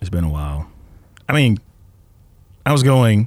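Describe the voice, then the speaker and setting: A man talks at a fairly quick pace with a fairly low pitch. His intonation is lively. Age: 20s. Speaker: podcast co-host. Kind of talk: casual chat.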